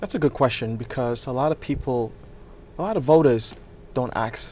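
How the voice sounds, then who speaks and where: This man has a medium pitch and a Nigerian accent. His pitch varies in an ordinary way. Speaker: political candidate and real estate developer. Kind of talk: interview.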